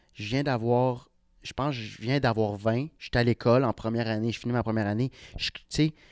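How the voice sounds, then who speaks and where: Recorded very cleanly against a silent background, with a dry, close sound and no echo, a man speaks with an Ontario accent at a medium pitch and fairly quick pace, his intonation fairly even but his loudness swinging widely. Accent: Franco-Ontarian French. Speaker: comedian. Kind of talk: casual chat.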